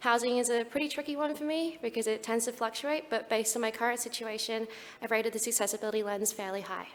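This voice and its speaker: A woman with an Australian accent, very fast speech, a fairly high pitch and ordinary pitch variation. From Australia (Perth). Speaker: speaker with lived experience of suicide, mental health professional. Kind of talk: conference talk.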